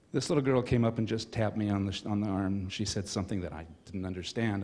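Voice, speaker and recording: A man speaks in a plain, everyday voice with a fairly low pitch. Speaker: church member. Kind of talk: testimony.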